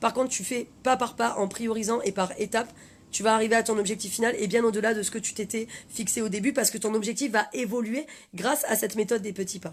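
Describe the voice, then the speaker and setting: Very fast, animated speech with a somewhat breathy sound. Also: woman, fairly high pitch for a woman. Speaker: life coach. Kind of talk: live stream talk. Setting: Facebook live video.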